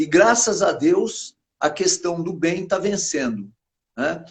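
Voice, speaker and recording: Speaking very slowly, a man with high pitch uses lively intonation. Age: 60s. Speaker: political candidate, retired soldier. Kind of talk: interview. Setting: live stream video call. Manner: halting, with many fillers.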